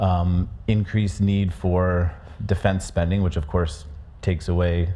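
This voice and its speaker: A man's very deep, low voice with an American accent, somewhat breathy and dark and mellow in tone, fairly even in intonation, at a moderate pace with audible room echo. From USA. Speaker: conference speaker presenting a research report. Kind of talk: conference presentation. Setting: conference stage with audience. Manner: hesitant, many fillers and restarts.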